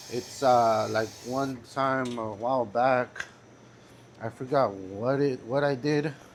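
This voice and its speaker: A man with a Spanish accent at a medium pitch, speaking very slowly with fairly even intonation. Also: long, frequent pauses. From California. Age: 20s. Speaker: vlogger. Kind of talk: casual vlog monologue. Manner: flat, even delivery; halting, with fillers.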